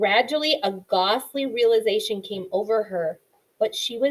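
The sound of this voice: Quiet surrounds an unforced reading voice.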